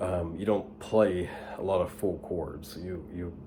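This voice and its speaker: A man's very deep, low voice, with audible room echo and noticeable background noise. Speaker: guitar teacher. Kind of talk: tutorial. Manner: whispering, soft; hesitant, many fillers.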